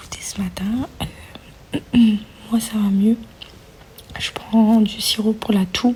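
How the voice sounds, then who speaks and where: Soft-spoken and whispering, a woman talks at a very slow pace with long, frequent pauses against noticeable background noise. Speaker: vlogger, mother of a baby. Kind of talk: casual vlog to viewers. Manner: whispered, soft; hesitant with many fillers.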